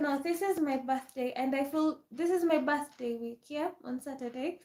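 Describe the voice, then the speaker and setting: In an African accent, a woman talks at a fairly slow pace with a high pitch and fairly even intonation. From Kenya. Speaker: live streamer. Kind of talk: casual chat. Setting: livestream.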